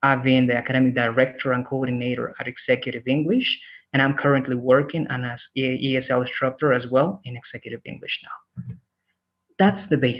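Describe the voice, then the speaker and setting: A man speaks at a fairly quick pace. He has a normal speaking voice with a medium pitch. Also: fairly even intonation. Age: 30s. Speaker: English teacher. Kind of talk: online class introduction.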